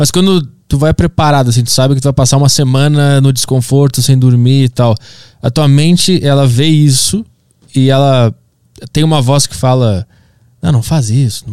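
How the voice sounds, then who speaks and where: A man's medium-pitched voice, dark and mellow, at a moderate pace with ordinary pitch variation, dry and close with no echo. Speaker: podcast host and comedian. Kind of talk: casual interview conversation.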